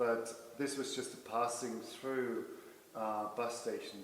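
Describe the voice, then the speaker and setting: Spoken in a German accent with monotone, flat intonation at a moderate pace, the voice carries audible room echo and noticeable background noise. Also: man. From Germany (Leipzig). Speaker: artist and art professor. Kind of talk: lecture. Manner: halting.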